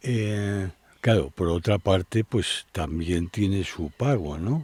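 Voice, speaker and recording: On a very clean recording with a silent background and a dry, close sound with no echo, a man speaks very slowly in a very deep, low, somewhat breathy voice with lively intonation. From Spain, Madrid. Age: 70s. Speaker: traveler and adventurer. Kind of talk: interview, life story.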